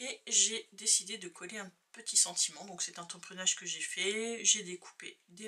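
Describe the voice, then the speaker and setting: A soft-spoken woman talks at a fairly slow pace. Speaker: crafting youtuber. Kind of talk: tutorial.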